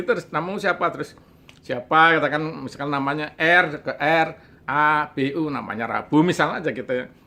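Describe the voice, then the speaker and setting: In a bright, sharp tone, a man speaks at a fairly quick pace. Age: 60s. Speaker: storyteller recounting childhood experience. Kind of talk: interview storytelling. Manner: halting, with fillers.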